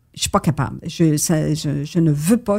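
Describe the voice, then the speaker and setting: Vocal fry runs through the voice, which has ordinary pitch variation. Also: woman. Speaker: retired war correspondent. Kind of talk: interview.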